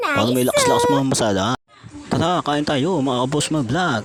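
Over noticeable background noise, a man speaks at a fairly quick pace with a fairly high pitch and very even loudness. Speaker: vlogger and ride driver. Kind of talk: casual vlog narration. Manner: stuttering, tongue-tied.

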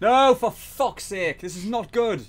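Speaking at a fairly slow pace, a man with a high pitch uses lively intonation.

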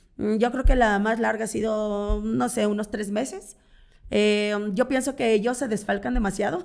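A woman speaks at a fairly slow pace with fairly high pitch and ordinary pitch variation. The background is quiet. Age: 40s. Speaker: content creator and swinger party organizer; content creator. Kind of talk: casual interview. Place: studio. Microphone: studio mic.

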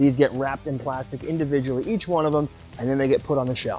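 A man over faint background music, in a dry sound with no echo. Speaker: company staff tour guide. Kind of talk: guided tour presentation. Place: factory.

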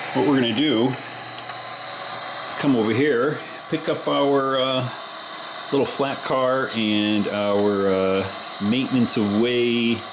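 A man's very slow delivery with long, frequent pauses, very even loudness and ordinary pitch variation, over noticeable background noise. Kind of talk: casual vlog chat. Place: home room. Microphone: phone near.

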